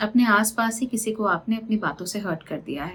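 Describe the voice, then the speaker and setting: Somewhat breathy, a woman speaks at medium pitch. Her pace is moderate, and her pitch varies in an ordinary way. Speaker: astrologer. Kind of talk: monthly horoscope reading to camera. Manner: conversational, mixing English phrases.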